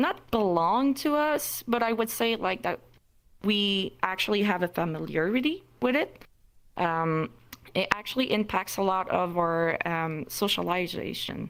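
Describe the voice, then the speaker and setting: A woman with a non-native accent, medium pitch, lively intonation and a fairly slow pace. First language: not English. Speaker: meetup moderator. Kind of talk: panel discussion. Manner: halting.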